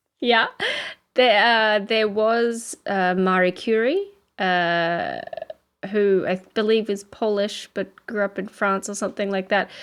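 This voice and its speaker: A very slow woman's voice at a medium pitch, with ordinary pitch variation and an Australian accent. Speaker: podcast co-host. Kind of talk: casual chat.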